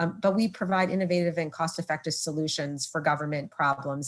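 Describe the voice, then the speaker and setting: Talking at a very fast pace, a woman with an American accent has a very deep, low pitch and fairly even intonation. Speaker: presenter from partner nonprofit. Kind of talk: webinar presentation.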